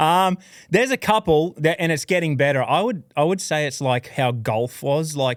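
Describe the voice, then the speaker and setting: A man at a moderate pace with ordinary pitch variation, in a very clean recording with a silent background and a dry, close sound with no echo. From Australia, Queensland (Toowoomba). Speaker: professional bass angler. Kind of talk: casual chat.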